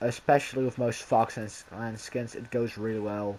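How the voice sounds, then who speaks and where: A man with a normal speaking voice talks at a moderate pace and medium pitch. His intonation stays fairly even. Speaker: gaming youtuber. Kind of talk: casual gameplay commentary.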